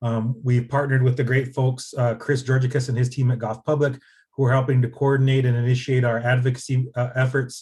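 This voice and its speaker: A man with a dark, mellow tone talks at a very fast pace and sounds somewhat breathy. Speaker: nonprofit policy advocate. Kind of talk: presentation. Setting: video call. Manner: fast when excited.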